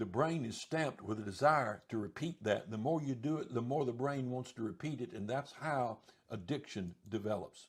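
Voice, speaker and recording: A somewhat breathy man's voice at medium pitch, moderate pace with hardly any pauses, ordinary pitch variation. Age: 70s. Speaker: Bible teacher answering viewer questions. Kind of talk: Q&A talk answering a viewer's question. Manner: halting, with fillers and restarts.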